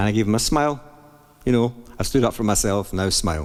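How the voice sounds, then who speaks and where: A man with a Scottish accent talks at a very fast pace. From Scotland. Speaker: jazz singer and pianist. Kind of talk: book reading and storytelling. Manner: friendly, bubbly.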